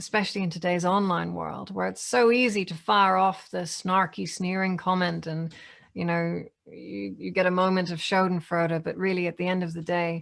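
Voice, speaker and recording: A woman's fairly low voice with fairly even intonation, on a very clean recording with a silent background. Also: moderate pace. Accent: Northern Irish. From Northern Ireland. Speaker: AI ethics speaker. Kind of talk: Q&A answer.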